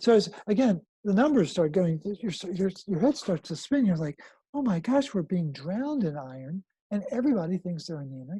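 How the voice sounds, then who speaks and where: A high-pitched man's voice with very wide pitch swings, dry and close with no echo, over a quiet background. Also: moderate pace. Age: 60s. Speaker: health protocol founder, mineral health advocate. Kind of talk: interview. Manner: repetitive, halting restarts.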